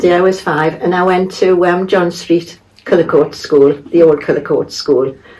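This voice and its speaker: Over noticeable background noise, a woman with a Geordie accent speaks at a fairly low pitch for a woman with ordinary pitch variation. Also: moderate pace. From northern England, Tyneside. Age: 80s+. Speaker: local resident sharing memories. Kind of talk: casual interview. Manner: halting.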